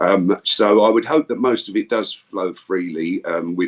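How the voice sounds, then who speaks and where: A man in an English accent is heard with dry, close sound and no echo. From England. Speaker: voice actor. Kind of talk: casual interview.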